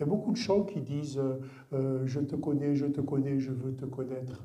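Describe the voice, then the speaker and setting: A man speaks at medium pitch with a dark, mellow, somewhat breathy tone. Audible room echo surrounds his voice. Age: 60s. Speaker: guest pastor. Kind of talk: sermon. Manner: halting.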